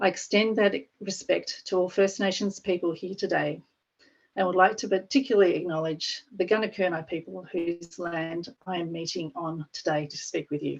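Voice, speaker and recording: A woman with an Australian accent, medium pitch, ordinary pitch variation and a moderate pace. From Australia (Victoria). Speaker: parks agency staff presenter. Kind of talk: webinar presentation. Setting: online webinar.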